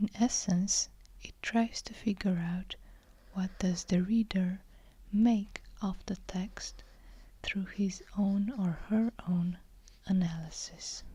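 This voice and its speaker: The voice whispers at a very slow pace, broken by long, frequent pauses. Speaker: ASMR book reviewer. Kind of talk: ASMR literary lecture. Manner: whispered.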